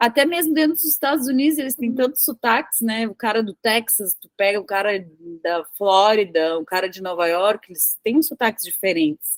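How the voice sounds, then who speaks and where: A woman's fairly high voice with very wide pitch swings at a moderate pace, in a dry, close sound with no echo. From southern Brazil (Rio Grande do Sul). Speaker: tech professional and English teacher. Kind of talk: casual interview conversation.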